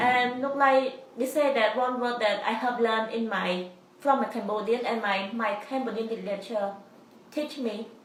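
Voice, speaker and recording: Moderate speed and fairly level intonation, plus audible room echo and noticeable noise behind. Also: woman, fairly high pitch for a woman. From Cambodia. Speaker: student. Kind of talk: interview. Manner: halting, with repetitions.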